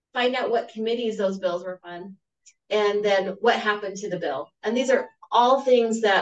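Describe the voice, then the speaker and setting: Slowish and measured, a woman speaks at a fairly slow pace. She has an ordinary speaking voice at medium pitch. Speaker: webinar presenter. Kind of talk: tutorial.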